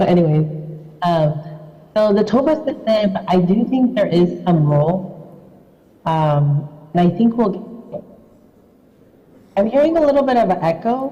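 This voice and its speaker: Over noticeable background noise and audible room echo, a woman at medium pitch speaks at a moderate pace, her pitch swinging very widely, with long, frequent pauses. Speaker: invited rheumatology speaker. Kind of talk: conference Q&A answer. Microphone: echo on the line.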